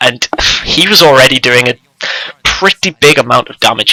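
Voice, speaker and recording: A man talks at a moderate pace, his sound dry and close with no echo. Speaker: esports shoutcaster. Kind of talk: esports match commentary. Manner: hesitant, analytical, conversational.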